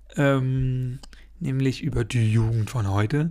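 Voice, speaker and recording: A man's medium-pitched voice is heard on a very clean recording with a silent background. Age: 20s. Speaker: podcaster. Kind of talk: solo podcast monologue. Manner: rambling, filler-heavy.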